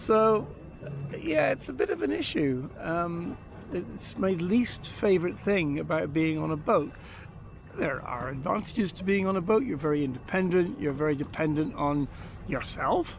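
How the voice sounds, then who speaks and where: Audible room echo surrounds a man speaking at a moderate pace. His pitch is fairly high and his intonation lively. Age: 60s. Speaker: vlogger living on a boat. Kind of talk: casual monologue vlog. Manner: halting, many fillers.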